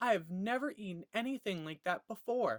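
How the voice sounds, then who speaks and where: A female-sounding, put-on character voice speaks at a medium pitch. The pace is moderate. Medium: read story. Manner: demanding.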